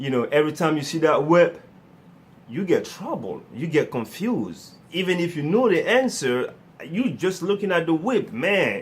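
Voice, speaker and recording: A man talks with a non-native accent at a moderate pace. His pitch is high, and his intonation is lively. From Africa. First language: not English. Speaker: motivational speaker. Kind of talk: motivational talk. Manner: animated.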